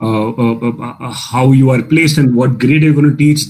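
A man talks at a fairly quick pace with an Indian accent and medium pitch. His intonation is fairly even, and noticeable background noise is present. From Bangalore, India. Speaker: storyteller, writer and poet. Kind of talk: casual interview chat.

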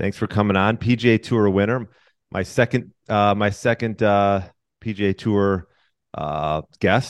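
A man with a normal speaking voice talks fairly slowly in a fairly low pitch with fairly even intonation, the sound dry and close with no echo against a quiet background. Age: 40s. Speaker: podcast host. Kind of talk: interview.

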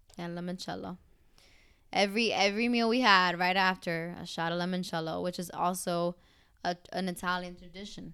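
The speaker's bright, sharp tone moves at a fairly quick pace with fairly even intonation, on a very clean recording with a silent background. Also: woman, medium pitch for a woman. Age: 20s. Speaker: travel podcast co-host. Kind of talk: casual chat; podcast outro. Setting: recording on vacation in Italy.

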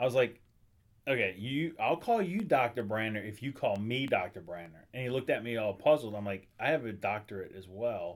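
In a very clean recording with a silent background, a man with an ordinary speaking voice talks fairly quickly at a medium pitch with lively intonation. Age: 40s. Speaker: attorney. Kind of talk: casual chat.

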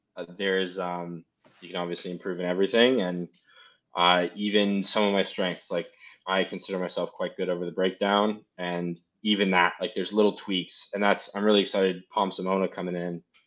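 Speaking at a fairly quick pace, a man with a slight Canadian accent uses a very deep, low pitch and monotone, flat intonation. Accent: slight Canadian tinge. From Seattle, US. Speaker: rugby player. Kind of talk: casual interview.

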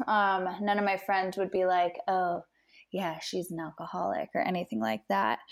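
A woman speaks in a plain, everyday voice with an American accent. Her medium pitch shows ordinary pitch variation at a moderate pace. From US Midwest, Chicago suburbs. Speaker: outdoor industry partnership manager. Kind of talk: casual interview. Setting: home living room.

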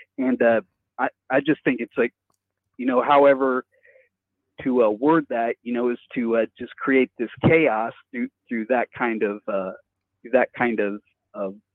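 A man at medium pitch, fairly slow and fairly even in intonation, with long, frequent pauses. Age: 50s. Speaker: caller. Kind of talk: casual chat. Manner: halting.

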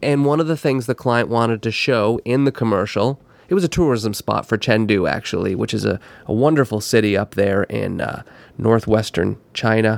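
A man talks at a medium pitch and a moderate pace with ordinary pitch variation, in an unremarkable speaking voice. The sound is dry and close with no echo, on a very clean recording with a silent background. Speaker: podcast host, video producer. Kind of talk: interview podcast. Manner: jovial, laughs often.

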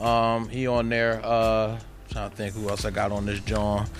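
A man speaks at a moderate pace in a medium pitch, with a monotone, flat intonation. Music plays in the background. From Philadelphia area, US. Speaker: rapper. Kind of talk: casual interview. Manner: halting, many fillers.

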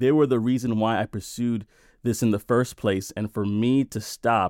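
In a normal speaking voice, a man talks at medium pitch and a moderate pace with fairly even intonation, on a very clean recording with a silent background and a dry, close sound with no echo. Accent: American. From Brooklyn, New York. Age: 30s. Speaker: tech sales worker, father of six. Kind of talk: interview testimony.

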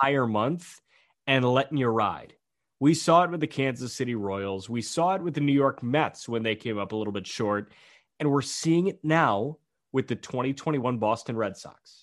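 In a plain, everyday voice, a man talks at medium pitch and a moderate pace with ordinary pitch variation. The background is quiet. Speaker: baseball podcast host. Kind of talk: casual chat.

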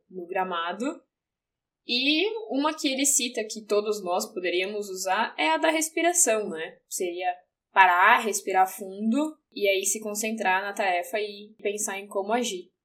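An ordinary speaking voice, with lively intonation, moves along at a fairly slow pace. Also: woman, medium pitch for a woman. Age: 20s. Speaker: English teacher and journalist. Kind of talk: casual chat.

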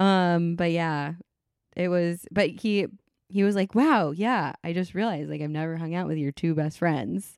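A woman with an ordinary speaking voice talks at a moderate pace and fairly low pitch with ordinary pitch variation, on a very clean recording with a silent background. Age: 30s. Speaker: podcast co-host. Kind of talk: casual chat.

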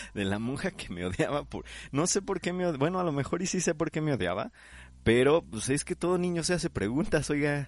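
In a Mexican accent, a man speaks at a fairly quick pace with a fairly high pitch. His pitch swings very widely against a quiet background. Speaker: podcast host, architect. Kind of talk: casual chat.

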